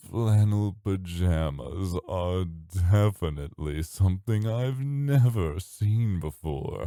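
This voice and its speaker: A man puts on a character voice, very deep and low, with lively intonation and hardly any pauses. He talks at a very slow pace in a very clean recording with a silent background. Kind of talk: ASMR roleplay. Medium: audio drama. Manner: teasing, seductive, drawling.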